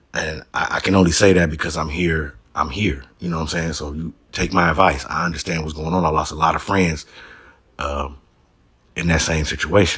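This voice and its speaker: A man with a very deep, low pitch and vocal fry speaks in a bright, sharp tone with fairly even intonation. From Los Angeles area. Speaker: YouTube commentator. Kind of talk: casual commentary.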